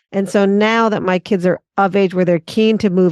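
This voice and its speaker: Speaking at a fairly quick pace with fairly even intonation, a woman with an ordinary speaking voice and an American accent is heard dry and close with no echo over a quiet background. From US West Coast, Los Angeles. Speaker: urban strategist. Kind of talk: podcast interview. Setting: video call.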